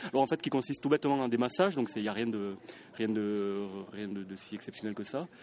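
A man with a fairly low voice talks very fast, with ordinary pitch variation. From Toulouse, southern France. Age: 30s. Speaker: live-action role-play speaker. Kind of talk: interview.

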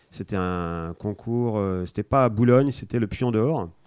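In a dark, mellow tone, a man speaks at a fairly low pitch with ordinary pitch variation, the sound dry and close with no echo. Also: very clean recording, silent background. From France (arrived from Spain age one). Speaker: board game designer. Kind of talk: casual interview.

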